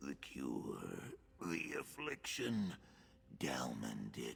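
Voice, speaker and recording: Over clear background noise, a man growls very slowly in a put-on character voice pitched very deep and low. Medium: video game. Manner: halting, fragmented.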